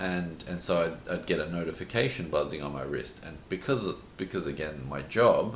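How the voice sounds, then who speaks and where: Amid noticeable background noise and audible room echo, a man with a very deep, low pitch speaks at a moderate pace with ordinary pitch variation. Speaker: teacher and podcast co-host. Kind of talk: casual chat.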